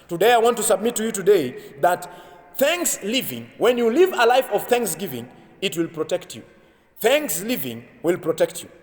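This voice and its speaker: Over noticeable background noise, a man with a high pitch speaks at a moderate pace, with very wide pitch swings and big swings in loudness. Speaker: pastor. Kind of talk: sermon preaching.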